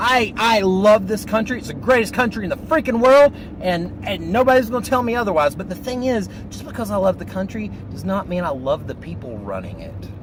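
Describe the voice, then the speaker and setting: A man with a Southern accent speaks at a moderate pace in an animated tone, with noticeable background noise. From US South, North Carolina. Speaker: vlogger. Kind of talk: casual monologue vlog. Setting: in a car.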